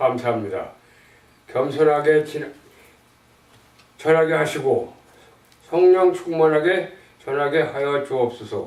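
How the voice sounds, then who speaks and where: At a fairly slow pace, a man with a fairly high pitch speaks over noticeable background noise. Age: 80s+. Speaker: church member reading gospel tract. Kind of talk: religious text reading with prayer. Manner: slow, careful reading.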